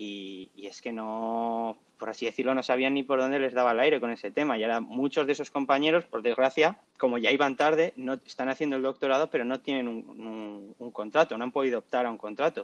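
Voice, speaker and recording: A man speaks at a medium pitch with ordinary pitch variation, moving at a fairly quick pace with hardly any pauses. His loudness swings widely, and the sound is dry and close with no echo. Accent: Castilian. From La Rioja, Spain. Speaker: doctoral student in sports science. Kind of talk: interview.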